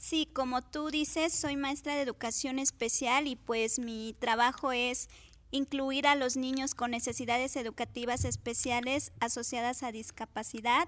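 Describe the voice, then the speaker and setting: On a very clean recording with a silent background, the voice moves at a fairly slow pace with hardly any pauses and fairly even intonation. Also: woman, high pitch for a woman. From Cuautla, Morelos, Mexico. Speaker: special education teacher. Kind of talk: interview. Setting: studio.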